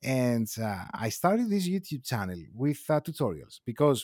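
With a Greek accent, a man speaks at a medium pitch in a dark, mellow tone with very wide pitch swings, in a very clean, dry, close recording with a silent background and no echo. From Greece, Athens. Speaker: filmmaker and video YouTuber, podcast co-host. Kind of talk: casual chat. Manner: slow.

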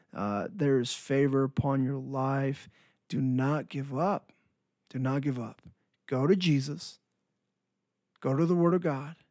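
A man with a fairly high pitch talks at a fairly slow pace, with ordinary pitch variation and long, frequent pauses. The recording is very clean, with a silent background. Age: 20s. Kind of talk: devotional monologue. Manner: animated.

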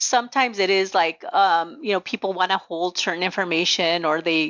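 A woman talks with a Spanish accent at a medium pitch. Her pitch varies in an ordinary way. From Nogales, Arizona, US Southwest border. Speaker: pharmacy executive and association president. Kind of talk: interview, professional conversation.

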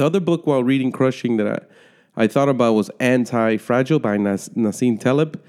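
A man's normal speaking voice with an American accent, fairly quick pace, very even loudness and ordinary pitch variation, in a very clean recording with a silent background. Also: medium pitch for a man. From United States. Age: 30s. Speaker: book podcast host. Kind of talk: solo book review monologue. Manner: casual, with some stumbles.

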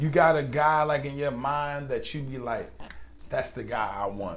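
Over music in the background, a man speaks fairly slowly in a fairly high pitch. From US, Baltimore. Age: 40s. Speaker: podcast host. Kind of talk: casual chat.

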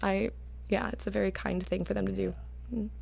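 Here a woman is speaking. The recording is very clean, with a silent background. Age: 20s. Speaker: opera singer. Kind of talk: casual chat. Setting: studio.

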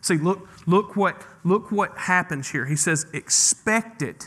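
A man with a Mississippi accent and a bright, sharp tone, at a fairly slow pace with ordinary pitch variation. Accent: Southern US (Mississippi). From northeast Mississippi, US South. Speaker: pastor. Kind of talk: sermon. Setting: church.

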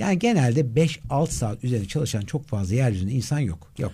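Very fast and with lively intonation, a man speaks in a dark, mellow tone that is somewhat breathy. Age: 50s. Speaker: life and performance coach. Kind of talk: interview.

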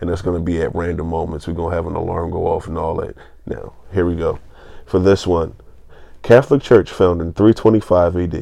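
This man's voice is very deep and low, with a dark, mellow tone, fairly even intonation, and a moderate pace. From Philadelphia, US. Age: 20s. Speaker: podcast co-host. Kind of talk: casual chat.

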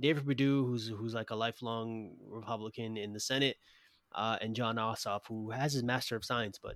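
A man with an American accent at a medium pitch and fairly quick pace, with fairly even intonation, in a very clean recording against a silent background. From US, Brooklyn, New York. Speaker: podcast host. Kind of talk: interview conversation. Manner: halting, many repetitions.

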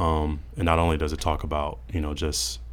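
A man with an American accent, a very deep, low pitch and vocal fry. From Mississippi, US South. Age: 20s. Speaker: church member, podcast guest. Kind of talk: casual discussion. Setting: studio.

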